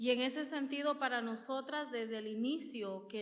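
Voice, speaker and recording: With audible room echo, a woman speaks at a moderate pace using fairly even intonation. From rural Honduras. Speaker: women's rights organizer. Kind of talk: conference talk. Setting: auditorium with audience.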